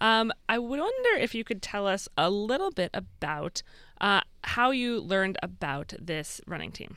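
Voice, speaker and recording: Speaking at a fairly slow pace, a woman with an American accent uses lively intonation in a bright, sharp tone at medium pitch. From Massachusetts. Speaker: radio host. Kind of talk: radio interview.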